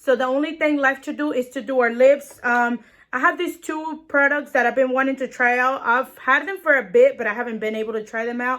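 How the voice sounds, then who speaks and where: A woman speaks with a strong non-native accent at a high pitch, her tone bright and sharp. The pace is fairly quick, with hardly any pauses. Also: ordinary pitch variation. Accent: strong foreign. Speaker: beauty vlogger. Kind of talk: tutorial. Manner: casual, chatty with fillers.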